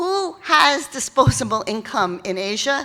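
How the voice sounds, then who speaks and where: A woman speaks in a New York accent. Her fairly high voice has a bright, sharp tone. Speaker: keynote speaker on philanthropy. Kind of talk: keynote speech. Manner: conversational, with fillers and false starts.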